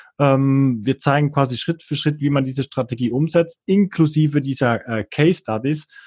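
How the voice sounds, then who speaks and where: A man's somewhat breathy voice, fairly high-pitched, at a moderate pace with hardly any pauses, ordinary pitch variation, and a dry, close sound with no echo against a quiet background. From Switzerland, near Bern. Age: 30s. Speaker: online marketer. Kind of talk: casual interview.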